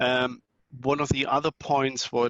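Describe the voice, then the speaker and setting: A man at a moderate pace, with a German accent. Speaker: network technology vendor presenter. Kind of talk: conference talk. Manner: hesitant, many fillers.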